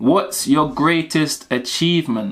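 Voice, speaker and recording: A man speaks in an animated tone at a fairly high pitch. His pitch varies in an ordinary way. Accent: London. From South London, Mitcham. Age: 30s. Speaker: YouTuber, graphic designer. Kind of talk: casual Q&A vlog.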